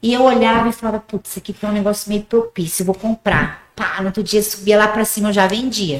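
A woman at a fairly high pitch and very fast pace, hardly any pauses, fairly even intonation. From rural Paraguay, Brazilian family. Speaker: gym owner and former bodybuilder. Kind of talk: casual interview. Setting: studio.

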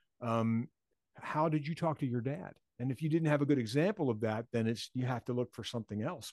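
Here is a man with an American accent and an unremarkable speaking voice at medium pitch. He talks at a fairly quick pace with lively intonation. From Philadelphia, US. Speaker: author. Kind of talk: interview.

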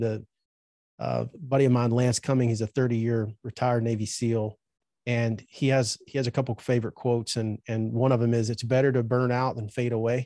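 A man with a Southern US accent speaks at a moderate pace in a medium pitch, his tone dark and mellow. His intonation is flat and monotone, and the sound is dry and close with no echo. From Alabama, US South. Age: 40s. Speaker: trade school owner. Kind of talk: interview.

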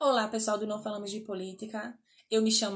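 This woman's voice is somewhat breathy and fairly high in pitch. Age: 30s. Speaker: testimony contributor. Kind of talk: recorded testimony.

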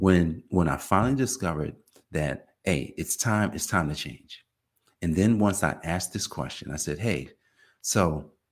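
A man with an American accent, very deep and low in pitch, lively intonation, an animated tone and vocal fry, moderate pace, very clean recording over a silent background. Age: 50s. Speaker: podcast host, accountant. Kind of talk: motivational monologue. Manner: repetitive restarts.

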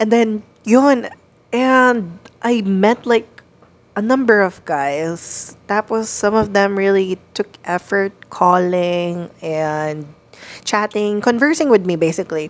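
A woman with a Filipino accent speaks very slowly, with lively intonation. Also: medium pitch for a woman. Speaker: podcast co-host. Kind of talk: casual chat.

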